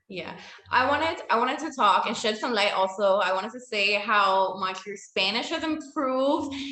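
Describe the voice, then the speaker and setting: A woman's fairly high voice with an American accent, lively intonation and a moderate pace, over audible room echo and noticeable background noise. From United States, Latin American background. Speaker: interviewer. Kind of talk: interview.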